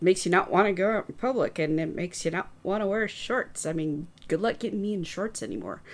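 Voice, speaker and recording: A soft-spoken woman talks at a very fast pace with hardly any pauses. Her pitch is medium, with ordinary variation. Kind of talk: casual chat.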